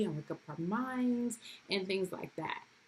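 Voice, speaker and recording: This woman talks at a moderate pace in a medium pitch, her voice somewhat breathy and her intonation lively. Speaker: homeschooling mom vlogger. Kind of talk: casual vlog talk to camera. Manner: casual with many fillers.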